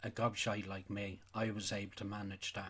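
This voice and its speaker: A man with a Donegal accent, fairly low-pitched, at a moderate pace. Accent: Irish, Donegal. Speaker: sheep farmer. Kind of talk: casual talk to camera. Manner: angry, ranting.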